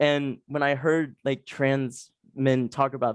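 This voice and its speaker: In a dry, close sound with no echo, a man with an American accent and a fairly high pitch speaks in a monotone, flat intonation. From Texas. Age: young. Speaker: university student. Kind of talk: interview. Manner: casual, hesitant with many fillers.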